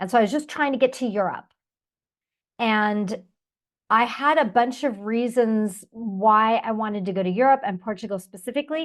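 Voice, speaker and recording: Using a normal speaking voice, a woman with an American accent talks at a fairly high pitch and moderate pace. Her pitch varies in an ordinary way over a quiet background. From United States. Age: 50s. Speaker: expat interviewee. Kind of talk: interview.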